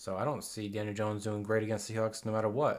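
Quiet and fairly low in pitch, a man talks at a fairly quick pace. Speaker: sports podcast co-host. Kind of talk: casual chat. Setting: sharing one mic in same room. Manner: quiet, low talker.

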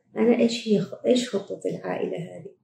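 A woman speaks with an Omani accent. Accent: Omani Gulf Arabic. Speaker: gynecologist and fertility doctor. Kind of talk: medical Q&A advice podcast. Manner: hesitant, with frequent fillers.

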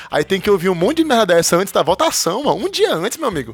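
The man talks at a very fast pace. His intonation is lively. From Brazil, Ceará. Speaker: podcast co-host. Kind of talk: casual chat. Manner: animated.

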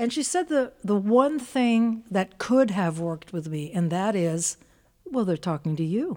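A woman speaks at medium pitch in a dark, mellow tone. Her pitch swings very widely at a fairly slow pace. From Philippines (Manila). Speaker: podcast host, musician. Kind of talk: casual interview chat. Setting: studio.

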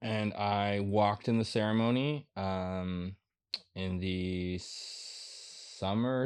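A normal speaking voice from a man with an American accent, fairly low in pitch with ordinary variation, over a quiet background. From Minnesota, Minneapolis. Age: 30s. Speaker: writer and artist. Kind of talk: casual chat.

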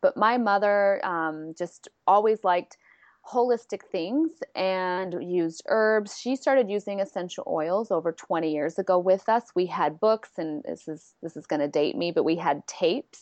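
A woman with an American accent speaks at a medium pitch. She has a normal speaking voice and lively intonation. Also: moderate pace. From San Diego, California. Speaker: licensed clinical social worker. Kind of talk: interview.

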